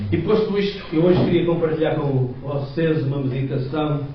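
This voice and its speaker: Someone with a European Portuguese accent speaks at a moderate pace with ordinary pitch variation, amid audible room echo and noticeable background noise. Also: man. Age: 60s. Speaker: lay preacher. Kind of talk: sermon. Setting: church.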